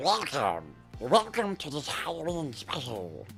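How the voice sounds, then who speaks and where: Over clear music in the background, the speaker puts on a character voice at a low-to-middle pitch, moving at a fairly slow pace with very wide pitch swings. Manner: creepy.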